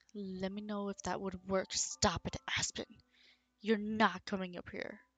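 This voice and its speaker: A woman talks at a fairly slow pace with a medium pitch and monotone, flat intonation. Her loudness swings widely. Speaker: streamer. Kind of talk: casual chat. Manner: soft-spoken. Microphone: too quiet.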